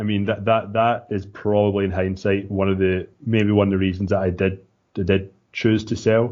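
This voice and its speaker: A man speaks in a Scottish accent. His pitch is fairly low and his intonation monotone and flat. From Scotland, small town. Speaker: entrepreneur. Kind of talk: podcast interview. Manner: casual, with filler words and repeats.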